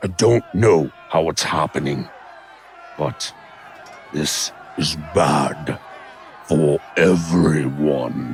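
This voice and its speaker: A man shouts in a put-on character voice, raspy and very deep and low. He goes at a very slow pace with long, frequent pauses, over clear background noise. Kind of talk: audio drama performance.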